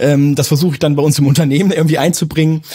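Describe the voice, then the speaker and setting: A man speaks very fast at a fairly high pitch. His intonation stays monotone and flat. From northern Germany, Lower Saxony. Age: 40s. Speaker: IT manager in a trades company. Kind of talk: casual interview.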